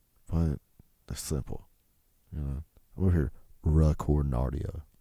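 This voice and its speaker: With a Southern US accent, a man speaks at a moderate pace in a very deep, low voice. His tone is dark and mellow, and his intonation stays fairly even. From US South. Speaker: podcast host. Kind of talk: casual solo podcast monologue. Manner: casual, rambling with fillers.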